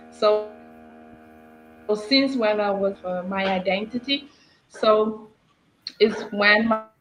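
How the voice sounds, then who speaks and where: A woman's fairly high pitch, very slow pace, long and frequent pauses, and fairly even intonation, with music in the background. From Cape Verde, Santiago island. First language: Cape Verdean Creole. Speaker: language teacher. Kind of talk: live video interview.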